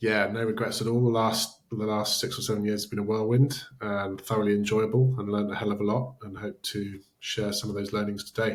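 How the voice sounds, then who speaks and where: In a British accent, a man talks at a fairly quick pace, his fairly low voice held in a monotone, flat intonation. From Britain. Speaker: startup founder. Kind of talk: interview.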